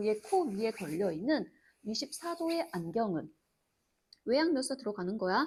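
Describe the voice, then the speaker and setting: At a moderate pace, a woman speaks in a fairly high, somewhat breathy voice with very wide pitch swings. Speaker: Korean literature tutor. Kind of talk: lecture. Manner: casual, informal speech.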